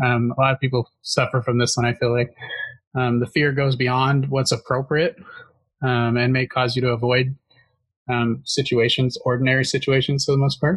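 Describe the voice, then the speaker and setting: With an American accent, a somewhat breathy man at medium pitch speaks at a moderate pace in a monotone, flat intonation and very even loudness, with long, frequent pauses and a dry, close sound with no echo. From Northwest Washington State, US. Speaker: podcast host. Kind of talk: casual chat about mental health. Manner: hesitant, filler words, halting.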